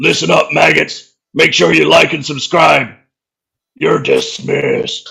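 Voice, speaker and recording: This is a put-on character voice. It sounds raspy. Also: man, fairly slow pace. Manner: gruff, barking, commanding.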